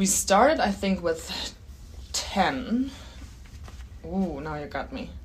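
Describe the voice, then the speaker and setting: A woman with a German accent speaks at a very slow pace with long, frequent pauses, very wide pitch swings, and big swings in loudness over noticeable background noise. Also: medium pitch for a woman. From Germany. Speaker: biomechanics researcher and PhD candidate. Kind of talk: interview, casual explanatory chat. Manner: laughs often, friendly.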